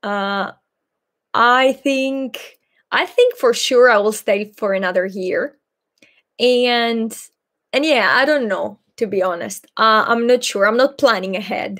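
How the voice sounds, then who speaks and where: A woman's fairly high voice at a very slow pace, with ordinary pitch variation, on a very clean recording with a silent background. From Greece, Patras. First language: Greek. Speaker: Greek language teacher and YouTuber. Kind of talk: live Q&A stream. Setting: livestream. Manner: halting, many fillers.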